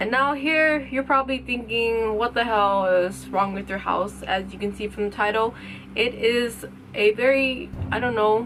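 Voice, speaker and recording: A woman mumbles with a fairly high pitch. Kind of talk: casual story time talk to camera. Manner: mumbling; casual, informal.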